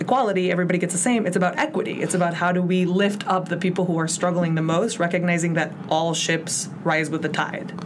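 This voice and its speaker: A woman with an American accent talks at a very fast pace in a fairly low pitch, with audible room echo and noticeable background noise. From Mexico City, then Chicago from age 10. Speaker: city council candidate, community organizer. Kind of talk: interview. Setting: studio.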